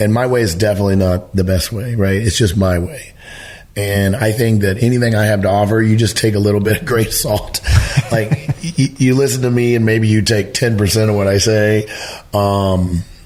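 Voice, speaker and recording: Fairly quick delivery with very even loudness, ordinary pitch variation and noticeable background noise. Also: man, fairly low pitch for a man. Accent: American. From Missouri. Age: 60s. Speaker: elk hunting educator. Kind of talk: podcast interview. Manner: animated.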